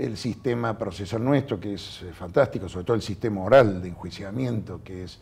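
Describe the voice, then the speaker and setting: A somewhat breathy man speaks at a moderate pace and fairly low pitch with hardly any pauses. His loudness swings a lot, while his pitch varies in an ordinary way. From Argentina. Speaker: judge; interviewee. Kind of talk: interview. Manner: halting. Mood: calm, reflective. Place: studio. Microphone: lapel.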